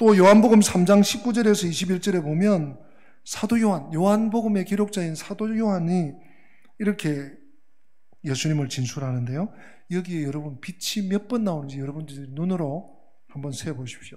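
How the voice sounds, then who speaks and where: With audible room echo, a man speaks at a moderate pace in a high pitch, his tone dark and mellow and his intonation lively. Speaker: pastor. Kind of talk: sermon. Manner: self-described poor pronunciation.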